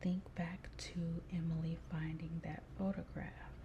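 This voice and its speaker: Soft-spoken and calm in tone, a woman talks. Her pace is very slow. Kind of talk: soft-spoken ASMR quiz. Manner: soft-spoken, slow, calm.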